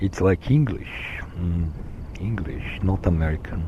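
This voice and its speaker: Over noticeable background noise, a man with a Slovenian accent talks at a fairly slow pace in a very deep, low pitch with lively intonation. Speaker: vlogger. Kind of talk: solo monologue recording. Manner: halting, many fillers.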